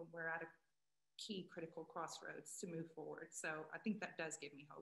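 Speaking very fast, a woman with an American accent talks in a fairly low pitch. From United States. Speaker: journalist and advocate. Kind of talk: panel discussion. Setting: video call.

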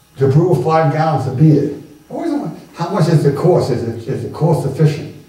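A man at a fairly high pitch, fairly quick pace and ordinary pitch variation, with audible room echo. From New York City (Brooklyn); New York City. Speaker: retired teacher and home brewer giving a history talk; retired teacher. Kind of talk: Q&A after a public lecture. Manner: casual and conversational. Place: hall. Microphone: camera far.

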